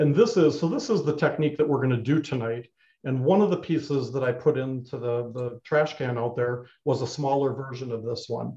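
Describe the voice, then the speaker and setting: A man's dark, mellow, somewhat breathy voice at a fairly quick pace, with ordinary pitch variation against a quiet background. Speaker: clay instructor. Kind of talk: tutorial. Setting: live online broadcast from studio. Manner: informal, hesitant with fillers. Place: studio. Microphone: webcam.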